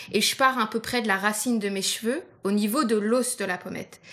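A woman talks in a plain, everyday voice with ordinary pitch variation. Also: very clean recording, silent background. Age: 30s. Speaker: visually impaired makeup podcast co-host. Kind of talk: scripted casual chat, makeup tutorial.

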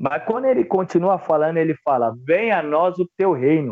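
In a plain, everyday voice, the speaker moves at a fairly slow pace with lively intonation. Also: man. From São Paulo, Brazil (north zone periphery). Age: 20s. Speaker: theologian and antifascist activist. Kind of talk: interview conversation.

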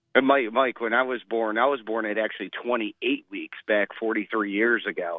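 A man's medium-pitched voice, an ordinary speaking voice, at a moderate pace with fairly even intonation. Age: 40s. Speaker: caller, new father. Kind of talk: casual chat. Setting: phone call.

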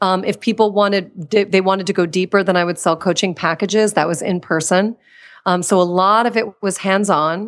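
With an American accent, a woman in a plain, everyday voice speaks at a fairly quick pace and a medium pitch with fairly even intonation, on a very clean recording with a silent background. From Washington, D.C. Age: 40s. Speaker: confidence coach and former actress. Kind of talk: interview.

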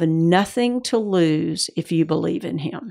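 In a Georgia accent, a woman speaks at a very slow pace in a fairly low pitch with ordinary pitch variation. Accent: Southern US (Georgia), still noticeable. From US South, Georgia. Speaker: mother and grandmother, church member. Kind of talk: interview about family and faith.

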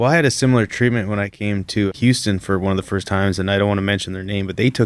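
A man's fairly low voice with a Canadian accent, very fast pace and fairly even intonation, on a very clean recording with a silent background. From Canada. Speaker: drilling fluids engineer, podcast co-host. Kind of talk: casual chat.

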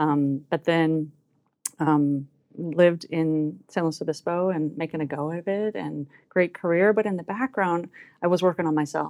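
A woman with an American accent and a fairly low pitch speaks at a moderate pace in an unremarkable speaking voice with ordinary pitch variation. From US South, New Orleans. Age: 40s. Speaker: success coach. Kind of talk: casual interview.

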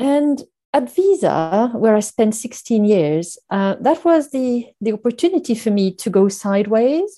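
In a slight French accent, a woman with a fairly high pitch and a dark, mellow tone speaks at a fairly slow pace with very wide pitch swings over a quiet background. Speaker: finance executive. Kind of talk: interview. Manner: halting, many fillers.

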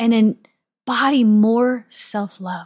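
In a very clean recording with a silent background, a woman with an American accent speaks very slowly in a somewhat breathy voice, her intonation fairly even and the sound dry and close with no echo. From US Midwest, St. Louis, Missouri. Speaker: podcast host, sex and wellness coach. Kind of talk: solo podcast monologue.

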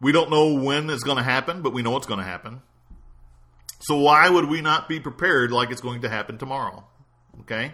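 A man talks at a fairly quick pace but with long, frequent pauses. His bright, sharp tone sits at a fairly high pitch with ordinary pitch variation. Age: 50s. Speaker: pastor and financial advisor podcast host. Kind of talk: solo podcast monologue on finances. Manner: repetitive, stammering restarts.

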